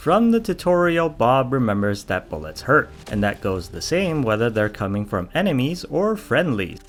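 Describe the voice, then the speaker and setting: With music in the background, a man talks at a moderate pace with hardly any pauses, his medium pitch swinging very widely. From Canada. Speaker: gaming YouTuber. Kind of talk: mockumentary game review narration.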